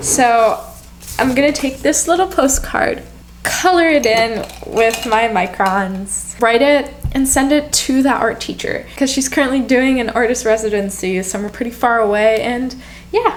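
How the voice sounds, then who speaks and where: A woman with an American accent speaks at a high pitch and a fairly slow pace, with lively intonation. Noticeable background noise and audible room echo are present. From US, Polish family. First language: Polish. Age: 20s. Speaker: lifestyle vlogger. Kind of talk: casual vlog talk.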